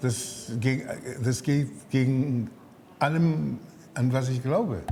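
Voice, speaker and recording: A man with a medium pitch speaks at a very slow pace, keeping his loudness very even. Audible room echo and noticeable background noise fill the recording. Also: ordinary pitch variation. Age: 70s. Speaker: chef and restaurant owner. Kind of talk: interview. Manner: halting, with fillers.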